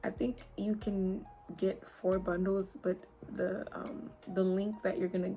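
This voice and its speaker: Speaking at a fairly slow pace with light background noise, a woman uses an ordinary speaking voice at medium pitch with fairly even intonation. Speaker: beauty YouTuber, hair reviewer. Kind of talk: product review vlog. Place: home room. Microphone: phone near.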